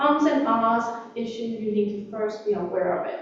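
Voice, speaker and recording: Over noticeable background noise and audible room echo, a woman speaks very slowly at a high pitch, her pitch swinging very widely. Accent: non-native. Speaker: workshop presenter. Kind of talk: workshop talk. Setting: library room with live audience. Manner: hesitant, many fillers.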